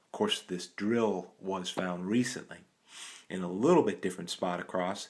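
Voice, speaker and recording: This very clean recording has a silent background. In it, a man speaks with a very deep, low voice. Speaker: artifact collector. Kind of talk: show-and-tell video. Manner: animated; fast.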